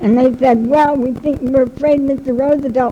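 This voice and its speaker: A woman speaks in a high pitch with fairly even intonation. There is noticeable background noise. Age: 70s. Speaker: local historian. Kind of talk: talk to an audience, interviewing a guest. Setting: public talk with loudspeaker.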